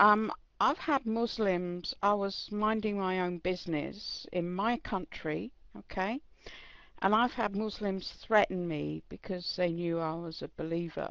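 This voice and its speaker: A woman's medium-pitched voice with an English accent, a fairly slow pace and ordinary pitch variation. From England. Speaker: chat room participant. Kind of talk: debate statement.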